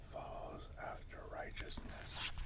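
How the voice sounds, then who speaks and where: The speaker is whispering in a soothing tone. Noticeable background noise can be heard. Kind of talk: whispered ASMR scripture reading for sleep. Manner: whispered, soft-spoken, soothing.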